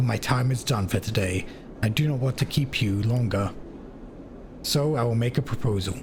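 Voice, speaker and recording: A booming, put-on character voice at a moderate pace, with long, frequent pauses. Background noise is clearly heard. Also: man, medium pitch for a man. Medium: game stream. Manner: warm, measured, formal phrasing.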